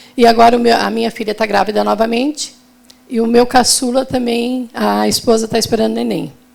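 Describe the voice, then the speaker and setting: A woman speaks fairly quickly over noticeable background noise. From southern Brazil, Santa Catarina (Araranguá). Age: 60s. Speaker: retail businesswoman. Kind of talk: panel talk.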